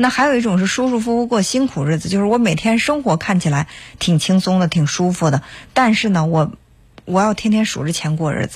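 This man's high-pitched voice carries lively intonation at a fairly quick pace. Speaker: radio call-in host. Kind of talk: call-in advice show. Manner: calm, conversational.

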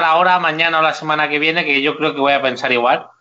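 A man talks at a fairly quick pace in a fairly high pitch. It is an ordinary speaking voice. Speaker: YouTuber, motorhome travel channel. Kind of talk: casual interview chat.

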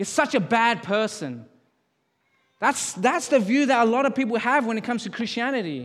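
With an Australian accent, a man talks at a moderate pace in an extremely high pitch, with ordinary pitch variation and audible room echo. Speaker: pastor. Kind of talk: sermon. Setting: church service.

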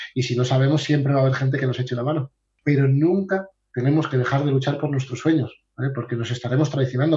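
A man talks very fast in a fairly high, somewhat breathy voice. His tone is dark and mellow, and his intonation stays flat and monotone. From Asturias, Spain. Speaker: sales coach. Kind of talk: interview.

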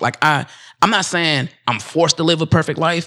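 Using a plain, everyday voice, a man with an American accent talks at a fairly quick pace and a fairly high pitch. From United States. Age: 30s. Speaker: podcast host. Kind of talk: casual chat.

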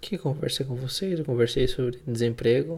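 A man's somewhat breathy voice with a Spanish accent. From Argentina (Buenos Aires), moved to Brazil at 12. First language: Spanish (speaking Portuguese). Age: 20s. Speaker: podcast host. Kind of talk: casual solo monologue. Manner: hesitant, improvised.

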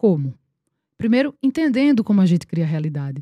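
Her pitch swinging very widely around a medium level, an animated woman is captured with a dry, close sound, no echo, and a silent background in a very clean recording. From Paraíba, Brazil (Campina Grande). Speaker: actress. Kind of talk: casual chat.

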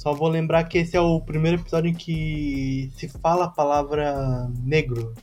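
With music in the background, a man talks at a moderate pace, his fairly high pitch showing ordinary variation. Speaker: podcast co-host. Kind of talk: casual chat.

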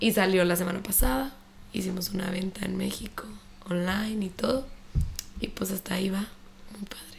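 This woman has a medium pitch and ordinary pitch variation, speaking at a fairly quick pace. Long, frequent pauses break up her speech over noticeable background noise. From Chihuahua, northern Mexico. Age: 20s. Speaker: fitness instructor and entrepreneur. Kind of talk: casual interview chat.

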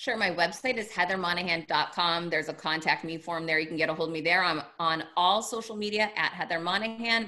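Speaking in an American accent at a fairly quick pace, a woman has a fairly low pitch and a bright, sharp tone. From Massachusetts (Worcester). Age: 40s. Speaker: author and keynote speaker. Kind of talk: interview.

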